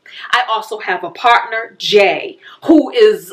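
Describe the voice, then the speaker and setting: This woman has a plain, everyday voice, fairly high in pitch, with lively intonation. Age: 50s. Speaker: personal finance YouTuber. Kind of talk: casual vlog talk.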